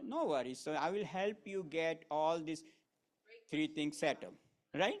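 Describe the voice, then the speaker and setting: A man at a fairly slow pace with a fairly high pitch. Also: ordinary pitch variation. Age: 30s. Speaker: financial sales trainer. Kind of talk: training presentation. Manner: animated.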